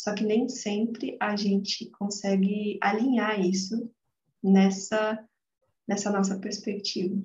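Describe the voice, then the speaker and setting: Her voice is medium-pitched, somewhat breathy and flat in intonation. The woman speaks very slowly, leaving long, frequent pauses. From Brazil, interior of São Paulo state. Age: 20s. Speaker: psychologist and holistic therapist. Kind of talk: casual interview.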